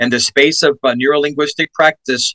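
An American man speaks in an animated tone that sounds bright and sharp. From New York City, Spanish Harlem. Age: 50s. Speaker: talk show host. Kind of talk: talk show interview.

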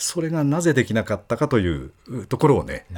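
Pitch swinging very widely, a man speaks at a fairly quick pace. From Okayama, Japan. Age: 60s. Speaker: sports announcer. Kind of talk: casual chat.

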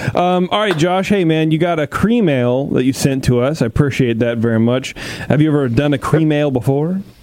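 Fairly high-pitched male voice with an American accent, lively intonation and a fairly quick pace over noticeable background noise. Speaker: homebrew show host. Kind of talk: casual chat and beer judging. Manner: joking, laid-back.

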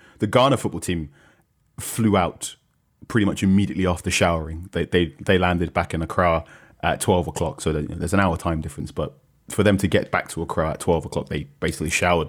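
With a British accent, a man speaks very fast at a very deep, low pitch on a very clean recording with a silent background. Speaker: football journalist. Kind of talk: casual chat. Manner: hesitant, with frequent fillers and repeats.

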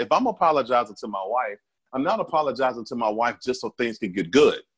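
A man with an American accent talking at a very fast pace, the sound dry and close with no echo. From Alabama, US South. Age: 40s. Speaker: podcast guest. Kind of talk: casual chat.

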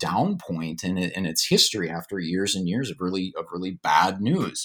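In an American accent, a man with an ordinary speaking voice talks at a moderate pace and a fairly low pitch with ordinary pitch variation, on a very clean recording with a silent background. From Minnesota, Duluth. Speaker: historian and author. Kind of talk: interview.

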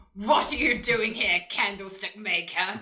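A put-on character voice sounds female. It moves at a moderate pace. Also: fairly high pitch for a woman. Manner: mocking.

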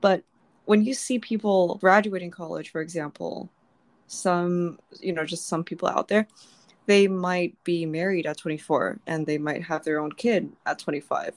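This woman has an ordinary speaking voice, fairly low in pitch, talking at a moderate pace with ordinary pitch variation. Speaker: podcast host. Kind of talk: casual chat.

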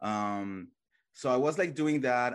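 A man with a Colombian accent talks at a fairly slow pace against a quiet background. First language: Spanish. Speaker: YouTuber reality TV commentator. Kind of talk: casual podcast interview.

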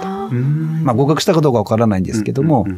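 Noticeable background noise sits behind the voice. A man speaks with very wide pitch swings. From Tottori, Japan. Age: 40s. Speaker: obstetrician. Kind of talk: radio interview. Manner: cheerful.

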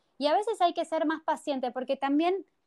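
With a dry, close sound and no echo, a woman's voice comes through a very clean recording against a silent background. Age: 30s. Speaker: spiritual workshop teacher. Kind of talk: interview.

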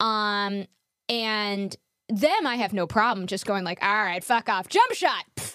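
The recording is dry and close with no echo. A woman with an ordinary speaking voice and fairly high pitch talks at a fairly slow pace. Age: 30s. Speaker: podcast host, donor-conceived person. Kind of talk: interview. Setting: video call.

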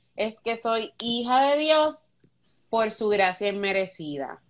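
Lively intonation from a female speaker. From Puerto Rico, Luquillo. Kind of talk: faith-based interview. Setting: Instagram live.

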